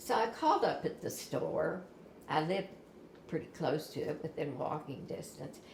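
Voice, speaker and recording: A woman with an American accent speaks at a moderate pace, with audible room echo and noticeable background noise. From southern Indiana (Clarksville). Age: 60s. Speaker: tornado survivor. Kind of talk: interview. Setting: at home.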